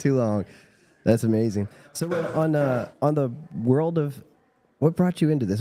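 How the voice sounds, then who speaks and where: A man speaks in a normal speaking voice at medium pitch. He moves at a fairly quick pace with lively intonation. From Virginia, US South. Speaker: livestream interviewer. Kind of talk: casual interview.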